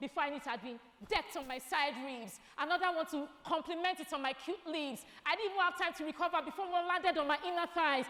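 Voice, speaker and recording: Using a raised, projected voice, a woman with an extremely high pitch talks at a very fast pace with ordinary pitch variation. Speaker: spoken word artist. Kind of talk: spoken word poetry performance at an awards gala. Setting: live event stage at an awards gala. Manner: rhythmic, rhyming, dramatic delivery.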